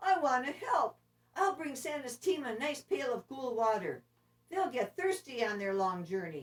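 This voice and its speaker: Putting on a character voice, a woman speaks high in pitch with very wide pitch swings. Her tone is timid. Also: moderate pace. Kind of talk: bedtime story. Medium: read story.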